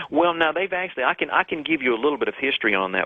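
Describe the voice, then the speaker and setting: Lively intonation marks this speaker's delivery in a Southern US accent. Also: man. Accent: southern swamp. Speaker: author and researcher. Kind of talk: radio call-in interview.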